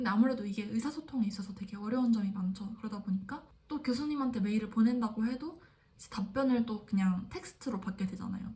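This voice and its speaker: A woman talks at a very fast pace in a somewhat breathy, fairly high-pitched voice with a dark, mellow tone and ordinary pitch variation. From South Korea. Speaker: graduate student vlogger. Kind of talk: casual vlog monologue.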